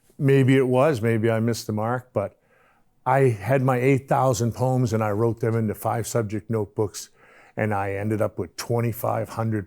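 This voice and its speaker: A man speaks at a medium pitch and a moderate pace with fairly even intonation and a dark, mellow tone. The recording is very clean, with a silent background. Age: 60s. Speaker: poet. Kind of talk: casual monologue. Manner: halting.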